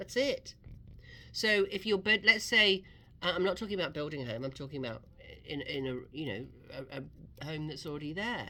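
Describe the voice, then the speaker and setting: With an English accent, a woman of very deep, low pitch and a bright, sharp tone talks at a fairly quick pace with very wide pitch swings. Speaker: real estate radio host. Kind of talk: radio talk show advice. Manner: conversational.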